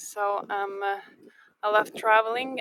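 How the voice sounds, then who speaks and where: A woman with a Lithuanian accent keeps her intonation fairly even. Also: dry, close sound with no echo. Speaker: live tour guide. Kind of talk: live-streamed walking tour with viewer chat. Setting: outdoors in sand dunes. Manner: halting, many fillers.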